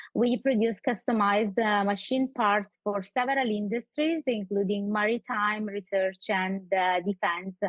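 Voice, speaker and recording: A strong Sicilian accent at a fairly slow pace, with ordinary pitch variation and a dry, close sound with no echo. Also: woman. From Sicily, Italy. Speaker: community group founder. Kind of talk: radio interview. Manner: halting, many fillers.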